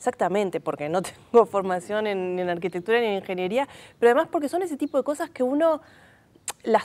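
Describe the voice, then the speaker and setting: A woman speaks with very wide pitch swings. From Uruguay, Montevideo (Cerro); Uruguay. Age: 40s. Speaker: film researcher and teacher; teacher. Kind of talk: TV interview. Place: studio. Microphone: lapel.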